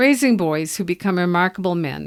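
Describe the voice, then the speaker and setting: Recorded very cleanly against a silent background, a woman with a plain, everyday voice speaks at a moderate pace, her pitch fairly low with ordinary pitch variation. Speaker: parenting coach and podcast host. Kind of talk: scripted intro and book promo read.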